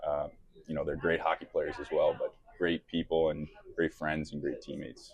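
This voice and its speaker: At a moderate pace, a man talks with a slight New York accent. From New York City (Bronx). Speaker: professional hockey player. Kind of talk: casual interview. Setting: restaurant.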